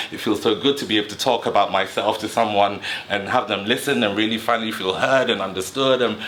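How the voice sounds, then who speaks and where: Noticeable background noise accompanies speech delivered at a fairly quick pace. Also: man. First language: another dialect besides English. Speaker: psychotherapist and mental health channel host. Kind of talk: personal storytelling monologue. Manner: rising and falling intonation; speaks fast when excited.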